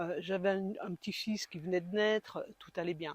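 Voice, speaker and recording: At medium pitch and a moderate pace, a woman uses a plain, everyday voice in a dry, close sound with no echo. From eastern France, Besançon. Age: 60s. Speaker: heart attack patient, support group founder. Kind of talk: interview testimony. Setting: podcast interview.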